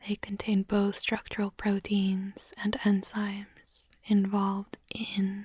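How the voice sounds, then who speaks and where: The voice is soft-spoken with a soothing tone. It moves at a very slow pace. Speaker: ASMR content creator. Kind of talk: ASMR roleplay, soft-spoken study-with-me session. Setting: binaural microphone recording, studio. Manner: soft-spoken, whispery, soothing, slow.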